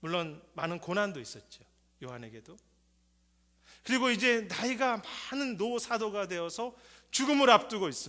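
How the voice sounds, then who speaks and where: In a very clean recording with a silent background, a man uses a raised, projected, high voice with a bright, sharp tone, very wide pitch swings, big swings in loudness and long, frequent pauses. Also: moderate pace. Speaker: pastor. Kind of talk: sermon.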